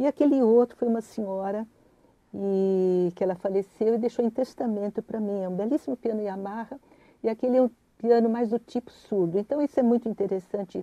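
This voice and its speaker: A woman at fairly high pitch with a dark, mellow tone, ordinary pitch variation and a moderate pace, in a dry, close sound with no echo. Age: 70s. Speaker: concert pianist. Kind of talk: interview. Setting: studio. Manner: hesitant, with many fillers.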